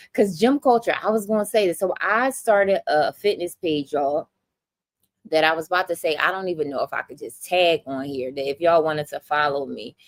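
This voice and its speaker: A woman with a Philadelphia accent talks at a fairly quick pace in an animated tone, her fairly low voice dry and close with no echo. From Philadelphia, US. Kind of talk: livestream chat with viewers.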